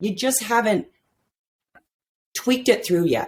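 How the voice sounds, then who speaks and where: Loud and animated, a woman talks at a fairly slow pace. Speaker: men's life coach. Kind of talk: podcast interview. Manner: talkative, animated.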